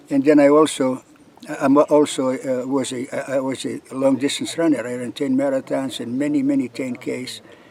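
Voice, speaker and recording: A man's monotone, flat delivery at medium pitch and a moderate pace, with noticeable background noise. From Lithuania. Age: 80s+. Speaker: long-distance hiker. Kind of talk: interview. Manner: halting, many fillers and repeats.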